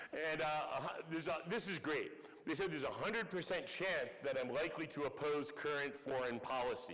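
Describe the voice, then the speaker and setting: A man with an American accent speaks in a fairly high pitch with ordinary pitch variation, with audible room echo and noticeable background noise. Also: very even loudness. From US Northeast. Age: 60s. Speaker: professor. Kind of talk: lecture.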